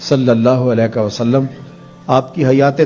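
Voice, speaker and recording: A man's voice with music in the background. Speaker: Islamic scholar giving a sermon. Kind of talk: religious sermon.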